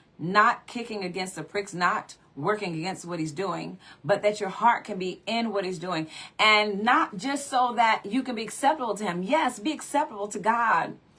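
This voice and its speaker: Over noticeable background noise, a woman with a medium pitch talks at a moderate pace with lively intonation. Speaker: preacher. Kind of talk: sermon.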